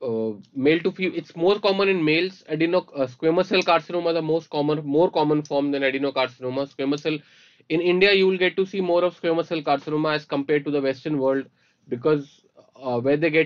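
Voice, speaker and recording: The background is quiet as a man talks at a very fast pace. His pitch variation is ordinary. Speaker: medical lecturer. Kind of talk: lecture. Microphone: webcam.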